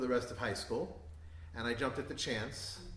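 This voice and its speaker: A man with a New York accent, fairly quick delivery and very wide pitch swings, amid audible room echo and noticeable background noise. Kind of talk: talk to an audience. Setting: synagogue event with live audience. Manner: hesitant, many fillers.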